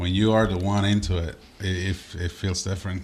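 A man's very deep, low voice in a Spanish accent, with monotone, flat intonation. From Puerto Rico. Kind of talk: casual interview chat.

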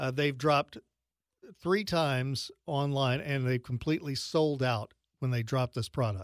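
A man speaks in a normal speaking voice at medium pitch with ordinary pitch variation and a moderate pace. The sound is dry and close, with no echo. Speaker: radio host. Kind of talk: casual chat.

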